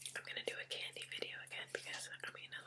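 Whispering is heard from a woman. Her pace is fairly quick. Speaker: ASMR creator. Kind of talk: ASMR eating video talk. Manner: whispered. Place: home room.

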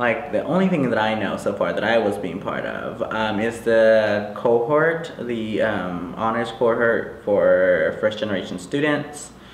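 The speaker, with an American accent, talks at a fairly slow pace with hardly any pauses and ordinary pitch variation. Noticeable background noise runs underneath. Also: man, medium pitch for a man. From Los Angeles, California. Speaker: student, aspiring photographer. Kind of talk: interview.

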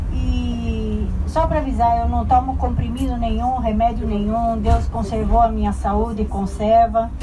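A woman with a Brazilian accent talks at a fairly slow pace with hardly any pauses, over noticeable background noise. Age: 60s. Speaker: tour group traveler giving testimony. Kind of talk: heartfelt personal testimony, faith-filled life story told to a group. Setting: group of travelers, addressing a crowd. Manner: warm, earnest and sincere, conversational and unhurried, with emotional emphasis; humble and devout, pleading and grateful in tone. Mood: earnest, faith-filled. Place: bus.

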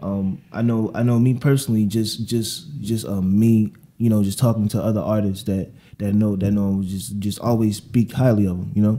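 The man's fairly low pitch and dark, mellow tone come with fairly even intonation. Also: moderate pace. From Baltimore. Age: 20s. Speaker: podcast host. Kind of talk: interview. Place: meeting room. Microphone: studio mic.

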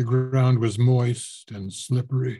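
A man speaks very slowly in a medium pitch, with a dark, mellow tone that is somewhat breathy. The background is quiet. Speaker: voice actor. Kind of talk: audiobook reading of a horror short story. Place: home room. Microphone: webcam.

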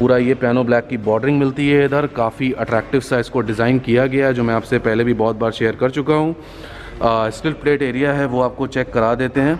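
At a moderate pace, a man speaks with monotone, flat intonation over light background noise. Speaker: car reviewer. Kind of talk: product walkaround commentary. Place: hall. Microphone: phone near.

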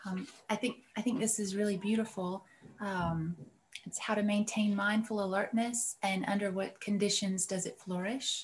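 Over light background noise, a woman talks in a somewhat breathy voice. Her intonation is monotone and flat. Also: moderate pace. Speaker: meditation student. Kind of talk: reading aloud and discussion. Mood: thoughtful, appreciative. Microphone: video call.

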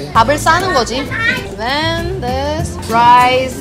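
A woman talks over loud music in the background. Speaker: food vlogger. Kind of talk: casual vlog chat. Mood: cheerful, playful. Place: cafe. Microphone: camera far.

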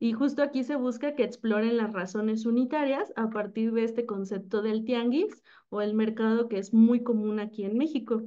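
Speaking in a Mexican accent at a moderate pace, a woman has a fairly high pitch, a dark, mellow tone and fairly even intonation over a quiet background. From Mexico. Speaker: teacher. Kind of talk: presentation. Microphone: video call.

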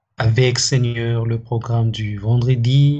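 A man speaks at a very slow pace in a dark, mellow, somewhat breathy voice with monotone, flat intonation. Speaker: church member leading closing prayer. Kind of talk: prayer. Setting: church. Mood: solemn, earnest. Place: home room.

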